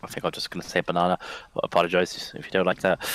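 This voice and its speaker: The sound is close and dry, without echo. A man talks with an English accent. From England. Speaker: esports caster and coach. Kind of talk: live commentary. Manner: fast.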